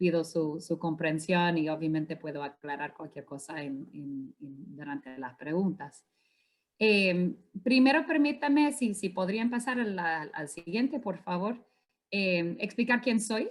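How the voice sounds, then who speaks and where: Speaking at a fairly slow pace, a woman with a fairly low voice makes very wide pitch swings and big swings in loudness. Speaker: climate finance consultant. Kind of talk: conference presentation. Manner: hesitant, many fillers.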